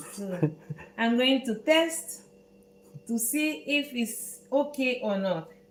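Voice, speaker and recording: Amid noticeable background noise, a woman with a high pitch and lively intonation talks at a very slow pace with long, frequent pauses. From Netherlands. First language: Dutch. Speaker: chef. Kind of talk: cooking tutorial. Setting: home kitchen, live stream. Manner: halting.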